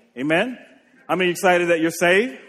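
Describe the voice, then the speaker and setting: A man speaks at a very fast pace in a raised, projected voice. His intonation stays fairly even. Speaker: preacher. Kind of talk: sermon.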